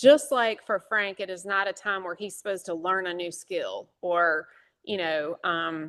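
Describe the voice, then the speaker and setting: At a fairly slow pace and a medium pitch, a woman talks in an ordinary speaking voice with ordinary pitch variation over a quiet background. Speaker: church lay leader. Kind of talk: church meeting presentation. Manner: many filler words.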